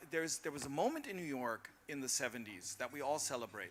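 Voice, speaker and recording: A man's bright, sharp tone with an American accent. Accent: very American. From Berlin (Charlottenburg). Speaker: panelist. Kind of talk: panel discussion. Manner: animated.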